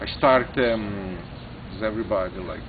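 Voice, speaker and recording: A man with an Italian accent and a fairly low pitch at a moderate pace, with audible room echo and noticeable background noise. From northern Italy (Brescia area). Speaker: chef and restaurant owner. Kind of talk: interview. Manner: halting, full of fillers.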